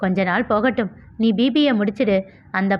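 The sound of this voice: Pitch moves with ordinary variation. The delivery is an unforced reading voice.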